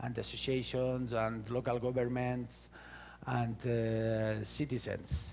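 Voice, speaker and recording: A man in a Valencian accent, medium-pitched, at a fairly slow pace. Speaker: conference speaker. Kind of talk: conference talk. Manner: halting.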